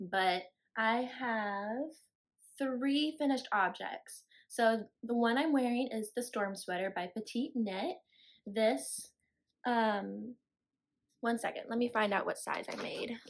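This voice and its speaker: Very slow, fairly high-pitched speech from a woman with a slight Southern US accent, ordinary pitch variation, and a very clean recording over a silent background. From Florida. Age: 20s. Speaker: knitting podcaster. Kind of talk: casual chat. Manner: rambling, casual with fillers.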